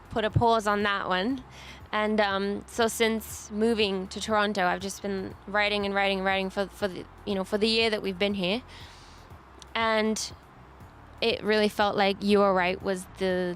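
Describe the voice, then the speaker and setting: Keeping a moderate pace, the woman talks at a medium pitch in a flat, monotone way. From Bulgaria, then England and Vancouver. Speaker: singer-songwriter. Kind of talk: interview. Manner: hesitant, many fillers and restarts.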